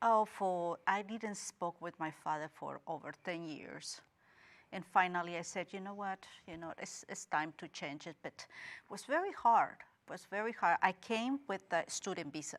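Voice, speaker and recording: At a moderate pace and medium pitch, a woman with a slight Guatemalan accent speaks with ordinary pitch variation and big swings in loudness in a very clean recording with a silent background. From Guatemala, Guatemala City. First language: Spanish. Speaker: interview guest. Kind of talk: interview.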